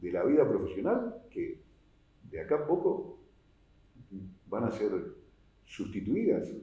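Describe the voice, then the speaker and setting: A man speaks with a Rioplatense accent at a moderate pace. Room echo is audible. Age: 60s. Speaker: tax policy expert, accountant. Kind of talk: oral history interview. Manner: hesitant, many fillers.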